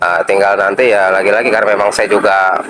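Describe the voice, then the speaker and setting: A man speaks with a Jakarta accent. Noticeable background noise runs under his voice. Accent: Jakarta Betawi-style. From Jakarta, Indonesia. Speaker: street food vendor. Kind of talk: interview.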